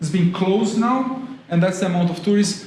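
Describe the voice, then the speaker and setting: A man with a Brazilian accent talks at a fairly quick pace with fairly even intonation, amid audible room echo and noticeable background noise. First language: Portuguese. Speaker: university lecturer in tourism. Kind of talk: public talk.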